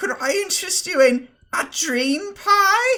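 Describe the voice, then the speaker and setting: Someone uses a put-on character voice pitched extremely high. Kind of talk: salesperson's pitch. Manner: silly, comedic.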